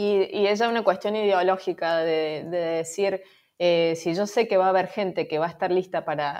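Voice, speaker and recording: Delivered at a moderate pace with fairly even intonation, this is a normal speaking voice. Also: woman. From Argentina, Córdoba. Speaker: marketing agency founder. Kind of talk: interview.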